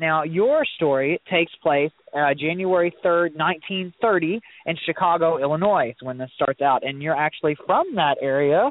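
In an American accent, a man with an ordinary speaking voice talks at a fairly slow pace, his pitch fairly high with ordinary pitch variation. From US Midwest, Southeast Missouri. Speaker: guest host and book reviewer. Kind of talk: author interview.

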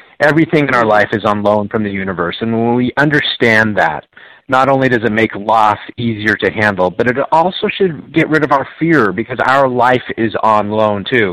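A man with an American accent, medium pitch, ordinary pitch variation and an enthusiastic tone, at a moderate pace with very even loudness and hardly any pauses. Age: 50s. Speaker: motivational author and speaker. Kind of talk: live radio interview. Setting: remote call.

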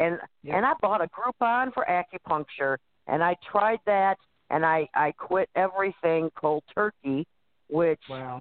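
Using an ordinary speaking voice, a woman talks at a fairly slow pace and a fairly low pitch, her intonation lively. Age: 50s. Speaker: author and pagan high priestess. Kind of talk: casual chat.

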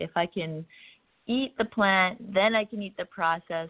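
A woman with a plain, everyday voice at medium pitch, a fairly slow pace and ordinary pitch variation. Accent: Canadian. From central Canada. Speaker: wellness influencer. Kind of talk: interview conversation.

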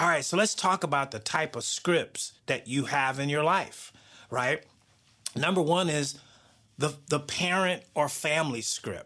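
Heard in a very clean recording with a silent background, a man speaks with an American accent. His fairly high voice has a bright, sharp tone and ordinary pitch variation. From US South. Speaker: podcast host and author. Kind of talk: motivational monologue.

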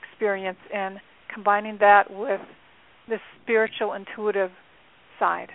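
At a fairly slow pace, a woman speaks at medium pitch. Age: 60s. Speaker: angel card reader and life coach. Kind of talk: interview.

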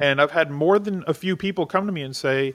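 Pitched fairly high, a man talks at a fairly quick pace. His intonation stays fairly even. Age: 40s. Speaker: fantasy sports analyst. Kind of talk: interview. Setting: video call.

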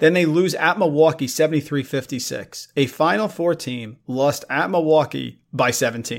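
An animated man's voice, fairly high in pitch, with ordinary pitch variation, a moderate pace and hardly any pauses, on a very clean recording with a silent background. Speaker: college basketball podcast host. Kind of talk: casual sports podcast banter. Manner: animated, jokey.

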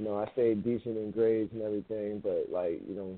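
A man with an American accent has a raspy voice of fairly low pitch. He speaks at a moderate pace with fairly even intonation.

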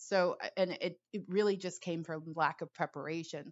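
A woman speaks at a fairly slow pace in a fairly low pitch, with an ordinary speaking voice. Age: 40s. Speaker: intuitive coach. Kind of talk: solo podcast monologue. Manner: casual, laughs often.

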